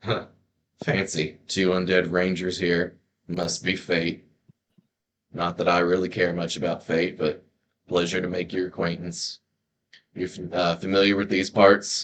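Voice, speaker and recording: In a put-on character voice, a man speaks raspily at a very deep, low pitch and a moderate pace, with monotone, flat intonation and long, frequent pauses. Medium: actual play. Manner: gruff, laconic, dry humor.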